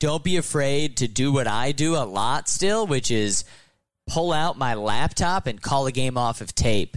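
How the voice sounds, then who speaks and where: On a very clean recording with a silent background, a man at medium pitch talks fairly slowly with lively intonation and an animated, upbeat tone. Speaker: sports broadcaster. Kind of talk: interview chat about broadcasting. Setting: baseball stadium booth.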